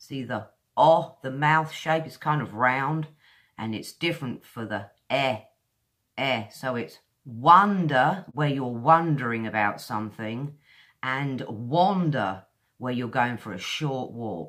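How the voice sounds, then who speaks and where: Speaking at a very slow pace in a British accent, a woman with a very deep, low pitch uses lively intonation and big swings in loudness over a quiet background. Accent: modern British English. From England. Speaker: English pronunciation teacher; pronunciation teacher. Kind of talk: tutorial. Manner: slow, deliberate enunciation. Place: home room. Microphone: webcam.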